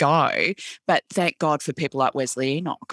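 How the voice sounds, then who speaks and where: A woman with an Australian accent in a very clean recording with a silent background. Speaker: podcast host, arts centre CEO. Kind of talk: interview conversation.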